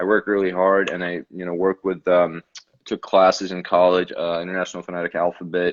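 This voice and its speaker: A man with a slight Russian accent and a very deep, low pitch talks at a fairly quick pace. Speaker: actor. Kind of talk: casual interview. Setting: video call.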